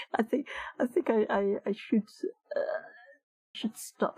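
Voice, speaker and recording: Somewhat breathy and dark, mellow in tone, a woman speaks at a very slow pace. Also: dry, close sound with no echo. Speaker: streamer, digital artist. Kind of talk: casual live-stream chat. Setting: live stream. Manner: halting, repetitive stammers.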